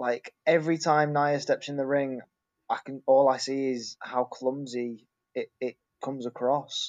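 The speaker, with a Lincolnshire accent, goes at a fairly slow pace with monotone, flat intonation. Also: man, fairly high pitch for a man. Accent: northern English (Lincolnshire). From northern England, Grimsby. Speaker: wrestling fan podcast guest. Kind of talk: casual chat.

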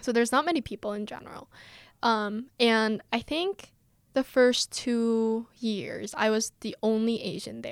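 Using a plain, everyday voice, a woman with an American accent speaks at a fairly slow pace and a fairly high pitch. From South Korea (Seoul) and US. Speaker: podcast co-host, university student. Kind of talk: casual chat.

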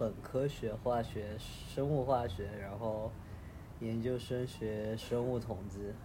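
A man with medium pitch speaks at a very slow pace, his tone dark and mellow and somewhat breathy. Audible echo fills the room. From Chengdu, Sichuan. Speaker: data analyst traveling. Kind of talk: casual chat.

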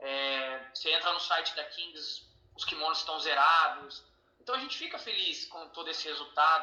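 A man with a fairly high voice speaks in a room with audible echo and noticeable background noise. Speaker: parent and athlete manager. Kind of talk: interview.

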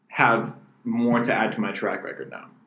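A man speaks in a plain, everyday voice at medium pitch, with an American accent. His intonation is lively and his pace is moderate. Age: 20s. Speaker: podcast co-host and booking agent. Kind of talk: casual chat.

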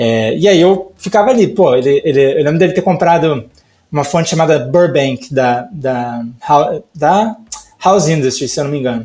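A man talks at a moderate pace in a fairly high pitch. His intonation sounds lively. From Brazil, Rio de Janeiro. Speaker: type designer. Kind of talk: casual interview chat. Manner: hesitant, many fillers.

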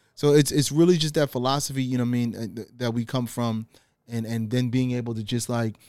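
Recorded very cleanly against a silent background, a man with an American accent and medium pitch talks at a very fast pace. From Guyana. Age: 40s. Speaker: artist and furniture maker. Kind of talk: casual podcast interview. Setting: studio in his apartment.

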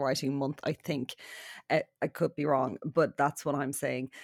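A woman speaks on a very clean recording with a silent background. The sound is dry and close with no echo. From Ireland, south County Dublin. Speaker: novelist and journalist. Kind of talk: casual chat.

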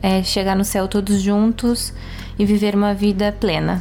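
Noticeable background noise and audible room echo fill the recording. A woman speaks at a medium pitch and a fairly slow pace. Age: 20s. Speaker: architect. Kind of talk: casual chat.

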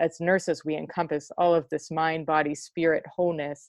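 A woman with an American accent, fairly low in pitch, monotone and flat, at a moderate pace. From US Midwest, Cleveland. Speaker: nurse coach and poet. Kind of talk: casual interview.

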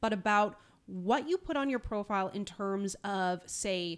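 In a very clean recording with a silent background, a woman talks fairly slowly at a medium pitch, her tone animated and sing-song with lively intonation. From Newfoundland, Canada. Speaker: podcast co-host. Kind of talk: casual chat between co-hosts. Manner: animated, sing-songy.

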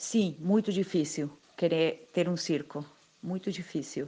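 With a Spanish accent, a woman talks at a very slow pace. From Argentina, Buenos Aires. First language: Spanish (speaking Portuguese). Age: 50s. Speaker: circus artist. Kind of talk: interview.

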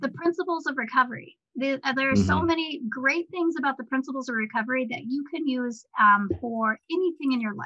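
A woman with a high voice speaks in a raised, projected way at a fairly quick pace, with ordinary pitch variation and hardly any pauses. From Alaska (raised in Chitina). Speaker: Alaska Native advocate. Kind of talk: casual chat.

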